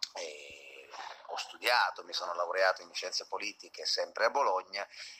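A man talking at a moderate pace. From Calabria, Italy (Acri, province of Cosenza). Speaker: singer-songwriter. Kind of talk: interview. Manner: halting, many repetitions and fillers.

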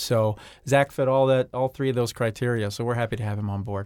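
With an unremarkable speaking voice, a man talks at medium pitch with fairly even intonation on a very clean recording with a silent background. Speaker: company president. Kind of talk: radio interview.

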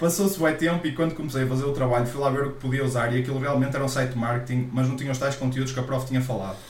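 Talking at a very fast pace with hardly any pauses, a man with a European Portuguese accent keeps a medium pitch and fairly even intonation, amid audible room echo and noticeable background noise. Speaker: podcast co-host. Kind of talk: casual chat.

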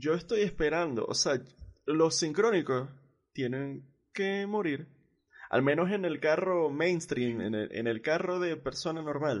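Against a quiet background, a man with an ordinary speaking voice talks fairly slowly at a fairly high pitch, his intonation lively. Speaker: podcast host. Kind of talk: casual chat.

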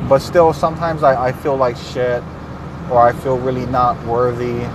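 Speaking at a moderate pace with fairly even intonation, a man is heard over noticeable background noise. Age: 30s. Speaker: podcaster. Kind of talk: personal monologue. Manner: halting.

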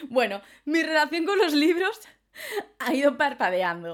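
Her tone is animated and her intonation lively. This woman keeps a moderate pace. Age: 20s. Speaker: podcaster. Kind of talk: casual monologue.

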